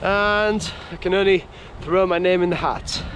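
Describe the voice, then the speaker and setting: Over noticeable background noise, a man speaks with a Yorkshire accent and a high pitch. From Yorkshire, England. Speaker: cycle touring vlogger. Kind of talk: casual vlog narration.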